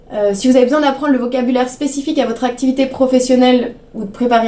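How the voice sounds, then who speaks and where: Delivered at a very fast pace, the speech has fairly even intonation. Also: woman. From French Alps. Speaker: English teacher and ski instructor. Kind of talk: self-introduction promo.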